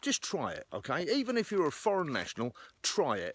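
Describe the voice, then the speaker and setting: In a very clean recording with a silent background, a man with an American accent talks at a fairly quick pace, his voice showing vocal fry and very wide pitch swings. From England. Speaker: outdoors and firearms vlogger. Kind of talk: opinion monologue to camera. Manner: hesitant, many fillers and repeats.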